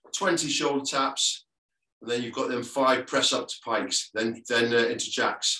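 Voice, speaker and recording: Audible room echo surrounds this man's voice. His tone is bright and sharp, and his intonation fairly even. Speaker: fitness instructor. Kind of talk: workout instruction. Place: home room. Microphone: video call.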